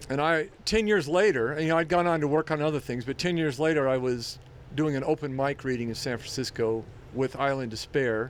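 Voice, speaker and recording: At a fairly quick pace, a man with a fairly high pitch and ordinary pitch variation talks in an unremarkable speaking voice. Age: 60s. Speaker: writer. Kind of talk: casual chat.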